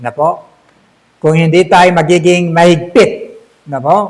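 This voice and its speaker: A man at a moderate pace. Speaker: pastor. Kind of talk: sermon. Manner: loud.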